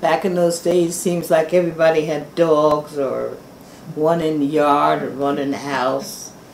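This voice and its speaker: Noticeable background noise is present. The talking is fairly slow. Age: 80s+. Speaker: local resident interviewee. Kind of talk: oral history interview.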